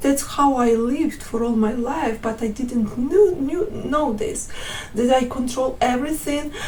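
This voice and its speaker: A woman with a non-native accent speaks at a fairly slow pace in a high pitch with ordinary pitch variation. The recording carries audible room echo and noticeable background noise. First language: not English. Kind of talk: testimony. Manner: halting, many fillers and restarts.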